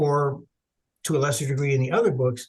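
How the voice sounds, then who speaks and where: This man's voice is pitched fairly high. There is a somewhat breathy quality to it. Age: 70s. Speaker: author and researcher. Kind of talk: interview.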